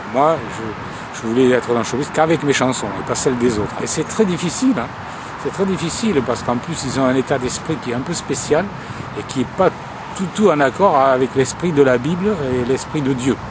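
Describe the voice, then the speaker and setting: Noticeable background noise sits under this recording. The man's voice is fairly high in pitch, with lively intonation. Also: moderate pace. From southern France, Toulouse. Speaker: singer-songwriter and former preacher. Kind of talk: personal testimony to camera. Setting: outdoors by a road. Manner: halting. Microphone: cheap camcorder mic, close to camera.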